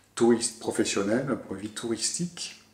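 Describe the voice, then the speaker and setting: This man speaks at a medium pitch and a fairly slow pace, his pitch varying in an ordinary way. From southwest France (Bordeaux). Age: 50s. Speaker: tourism office director. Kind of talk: interview. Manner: hesitant, many fillers.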